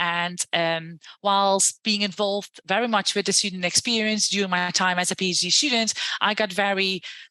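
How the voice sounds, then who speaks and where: With a Dutch accent, a woman speaks at a moderate pace in a medium pitch and a bright, sharp tone, her intonation monotone and flat, her loudness very even, and the sound dry and close with no echo. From Netherlands. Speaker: university lecturer and education entrepreneur. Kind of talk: podcast interview.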